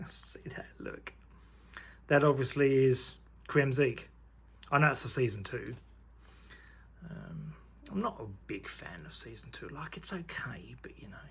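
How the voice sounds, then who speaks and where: A man talks at a fairly slow pace with long, frequent pauses. His loudness swings widely. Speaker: YouTuber unboxing trading cards. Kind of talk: casual unboxing commentary. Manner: quiet, half-whispering; animated, enthusiastic.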